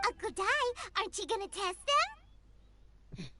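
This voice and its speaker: This put-on character voice is squeaky and extremely high. It moves along at a fairly quick pace. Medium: video game. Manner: chirpy, blunt.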